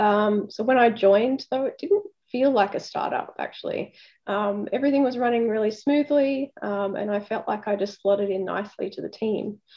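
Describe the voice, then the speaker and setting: Speaking at a moderate pace, a woman with an Australian accent has a fairly high pitch and ordinary pitch variation. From Australia, Sydney (Sutherland Shire). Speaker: software company director. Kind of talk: interview.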